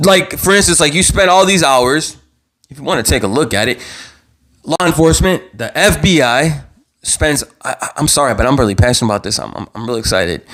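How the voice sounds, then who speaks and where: A man shouts loudly at a fairly quick pace, his fairly high voice swinging very widely in pitch with some vocal fry. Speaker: true crime YouTuber. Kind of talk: live stream commentary. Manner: loud, yelling; animated, repetitive stammering.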